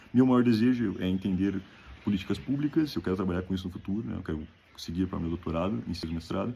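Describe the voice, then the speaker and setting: Very deep and low, a man's dark, mellow voice moves at a very fast pace with lively intonation. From Brazil, Rio Grande do Sul (Novo Hamburgo). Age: 20s. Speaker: graduate student. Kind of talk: self-presentation video for an application.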